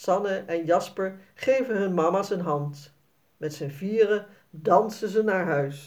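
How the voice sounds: The clip features a natural reading voice. Nothing else is noted about it.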